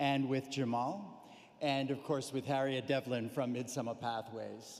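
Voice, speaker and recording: A man's medium pitch in an American accent, a normal speaking voice at a moderate pace with fairly even intonation. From United States. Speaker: corporate executive, sponsor speaker. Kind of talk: formal speech.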